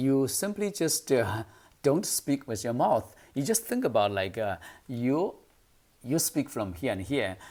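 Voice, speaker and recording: A man speaks with a Chinese accent at a fairly slow pace, his pitch swinging very widely. The recording is very clean, with a silent background. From China. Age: 50s. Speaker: English speaking coach. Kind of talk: tutorial. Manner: hesitant, many fillers.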